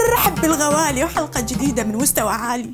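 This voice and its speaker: With music in the background, a woman speaks in an Iraqi accent at a high pitch with lively intonation. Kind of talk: satirical commentary voiceover. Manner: humorous, lively.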